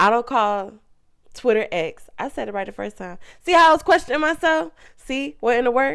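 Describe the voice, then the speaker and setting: On a very clean recording with a silent background, a woman with a high pitch speaks at a fairly quick pace in an animated tone with very wide pitch swings. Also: big swings in loudness. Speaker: podcast host. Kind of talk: motivational pep talk; casual chat. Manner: stuttering.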